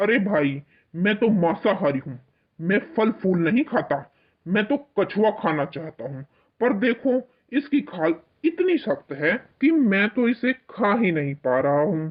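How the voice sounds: This cartoonish character voice sits fairly high in pitch and makes very wide pitch swings. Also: moderate pace.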